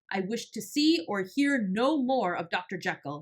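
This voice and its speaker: A loud, shaky, female-sounding voice puts on a character at medium pitch. The delivery moves at a moderate pace. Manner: agitated, trembling.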